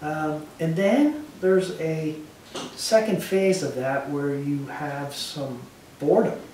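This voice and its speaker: With light background noise and audible room echo, a man speaks at a very slow pace in a fairly high pitch. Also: ordinary pitch variation. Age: 60s. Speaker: retired finance executive; interviewee. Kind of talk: interview. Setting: at home. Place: home room.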